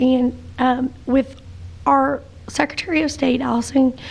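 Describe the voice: The voice moves at a fairly slow pace with vocal fry and little pitch movement. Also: woman, high pitch for a woman.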